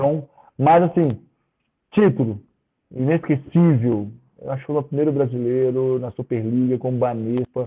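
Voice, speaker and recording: Speaking at a moderate pace, a man with a medium pitch and ordinary pitch variation leaves long, frequent pauses. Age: 40s. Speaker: professional volleyball player. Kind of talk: casual interview chat.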